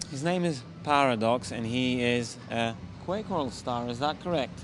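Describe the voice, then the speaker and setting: Lively intonation marks this man's medium-pitched voice at a fairly slow pace. Room echo is audible, and background noise is noticeable. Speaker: esports interviewer. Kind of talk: casual interview. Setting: gaming event.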